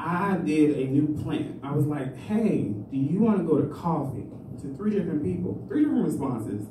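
Lively intonation marks a man's fairly high voice at a moderate pace. Audible room echo and noticeable background noise are present. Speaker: amateur stand-up comedian. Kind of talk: rambling, confessional open-mic stand-up about dating. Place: stage.

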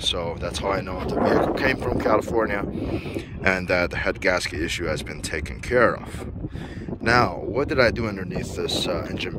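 A man speaks over loud background noise, the sound dry with no echo. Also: moderate pace. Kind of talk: casual vlog chat. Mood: proud, relaxed. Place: street. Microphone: phone near.

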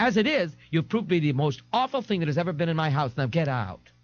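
A hissing, put-on character voice rushes along at a very fast pace with very wide pitch swings. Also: man, fairly high pitch for a man. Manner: breezy and effusive, turning to a cold hiss.

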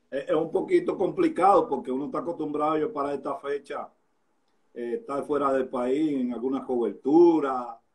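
With an unremarkable speaking voice, a man talks at a moderate pace, his pitch fairly high with ordinary variation. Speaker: sports interviewer host. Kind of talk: live interview chat. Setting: Instagram live, remote. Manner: casual, jokey, chatty.

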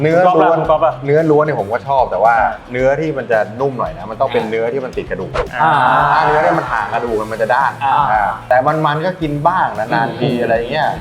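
A man's voice with ordinary pitch variation over music in the background. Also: medium pitch for a man. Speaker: football commentator. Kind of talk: casual talk on food show.

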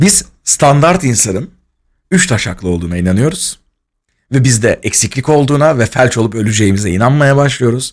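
Behind a man's voice, the background stays quiet. His pitch swings very widely as he talks at a fairly quick pace. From Turkey, Izmir; Turkey. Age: 20s. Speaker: streamer. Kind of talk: casual storytelling on a livestream. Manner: animated, laughing.

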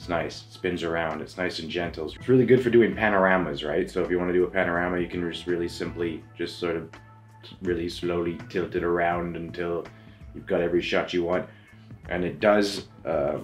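Faint music plays in the background while a man talks in a very deep, low pitch. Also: ordinary pitch variation. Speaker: photography reviewer. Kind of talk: product review talk. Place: home room.

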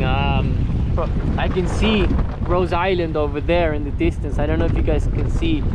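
A man is heard through loud background noise, the sound dry with no echo. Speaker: solo sailor vlogger. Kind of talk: casual vlog chat. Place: boat. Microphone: phone near.

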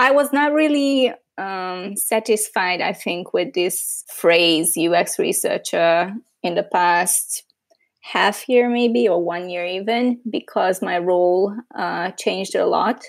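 Woman in a Hungarian accent, very slow pace, lively intonation. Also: medium pitch for a woman. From Hungary. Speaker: user researcher. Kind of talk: interview conversation.

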